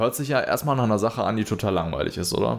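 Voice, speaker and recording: Talking at a very fast pace, a man has a fairly low pitch and ordinary pitch variation. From Germany, Minden. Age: 20s. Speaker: podcast host, entrepreneur. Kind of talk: solo podcast monologue.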